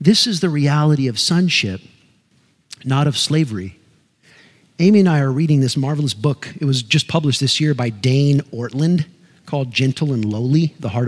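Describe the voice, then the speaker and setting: With ordinary pitch variation and a moderate pace, a plain, everyday voice carries the words. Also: man. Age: 50s. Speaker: pastor. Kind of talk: sermon.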